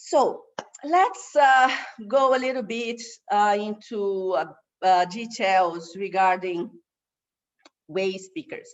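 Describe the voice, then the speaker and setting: A woman with a Brazilian Portuguese accent, very slow, with lively intonation and long, frequent pauses. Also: medium pitch for a woman. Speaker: waste management expert. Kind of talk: online course presentation. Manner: halting, many fillers.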